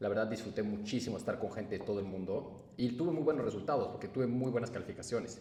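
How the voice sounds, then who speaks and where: A man with a Mexican accent talks at a very fast pace. His pitch varies in an ordinary way, with noticeable background noise. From Mexico. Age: 20s. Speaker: entrepreneur. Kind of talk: personal storytelling. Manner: casual.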